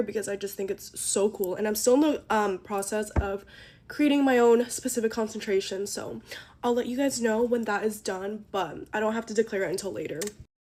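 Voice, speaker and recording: This woman has an unremarkable speaking voice, pitched fairly high. She talks at a fairly quick pace with fairly even intonation. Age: 20s. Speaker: college student vlogger. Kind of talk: casual get-ready-with-me vlog. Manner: fast, chatty with many fillers.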